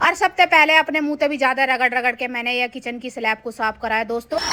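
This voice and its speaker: Speaking at a moderate pace with a Haryanvi accent, a woman uses a raised, projected voice that is high-pitched and bright, sharp in tone, with ordinary pitch variation. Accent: rural North Indian (Haryanvi-style) dialect. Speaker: mom vlogger. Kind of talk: vlog voice-over. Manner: humorous, chatty.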